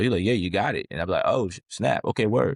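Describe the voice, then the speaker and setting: With an American accent and vocal fry, a man speaks in a dry, close sound with no echo on a very clean recording with a silent background. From New Orleans, Louisiana (uptown). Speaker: rapper. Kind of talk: interview. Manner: casual, halting.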